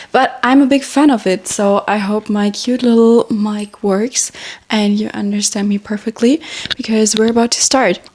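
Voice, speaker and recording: A woman's fairly high voice with fairly even intonation, a moderate pace and noticeable background noise. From Germany. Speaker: social media influencer. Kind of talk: casual chat. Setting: at home in bedroom.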